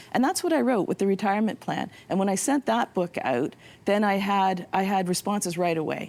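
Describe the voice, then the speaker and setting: Talking fairly quickly, a woman uses a plain, everyday voice at a medium pitch, with lively intonation and very even loudness. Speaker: novelist. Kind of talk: interview.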